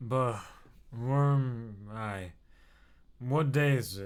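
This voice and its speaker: A put-on character voice from a man, mumbling at a very slow pace, medium pitch with ordinary pitch variation. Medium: read story.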